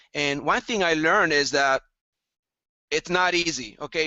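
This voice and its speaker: Fairly high in pitch, a man with a Latin American accent talks with ordinary pitch variation. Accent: non-Texan, Latin American. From El Salvador. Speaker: entrepreneur and group leader. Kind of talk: casual interview chat.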